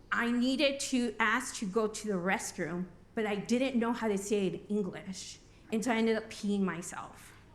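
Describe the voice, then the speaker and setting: With fairly even intonation, a woman speaks at a fairly slow pace amid audible room echo. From Albuquerque, New Mexico. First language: Spanish. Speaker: recovery program coordinator. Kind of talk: conference talk. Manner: casual, joking.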